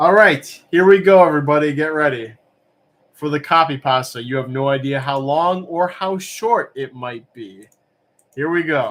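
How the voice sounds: A man talks at a moderate pace with ordinary pitch variation. His voice is fairly high-pitched with a fairly bright tone.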